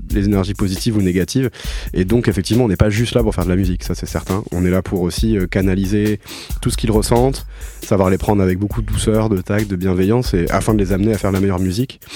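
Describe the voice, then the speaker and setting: Music plays in the background as a man talks at a very fast pace. His pitch is very deep and low, with ordinary pitch variation. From France, Toulouse. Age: 20s. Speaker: musician and record producer. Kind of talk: radio interview. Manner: halting.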